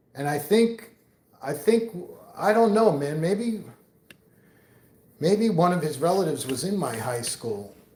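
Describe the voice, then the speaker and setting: Speaking with an American accent, a man with a high pitch and a dark, mellow tone moves at a fairly slow pace with very wide pitch swings and long, frequent pauses, in audible room echo. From New York. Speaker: live streamer. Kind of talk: casual chat. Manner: rambling casual, many fillers.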